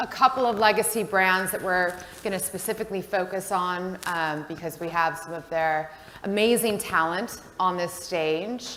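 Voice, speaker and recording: Room echo surrounds a woman's voice. She speaks at a medium pitch in an American accent. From United States. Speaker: panel moderator. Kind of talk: panel discussion moderation. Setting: stage with audience. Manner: loud.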